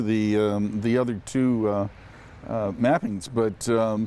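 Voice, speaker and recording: A man talks in a dark, mellow tone. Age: 60s. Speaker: charity auction winner test rider. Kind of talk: interview about a test ride. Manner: hesitant, many fillers.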